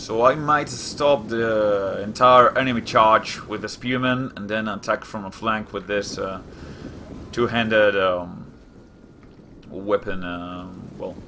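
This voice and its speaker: A man talks at a very slow pace with big swings in loudness. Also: fairly low pitch for a man, ordinary pitch variation. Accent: Spanish. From Spain. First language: Spanish. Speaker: gaming youtuber. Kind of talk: gameplay commentary. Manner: hesitant, many fillers.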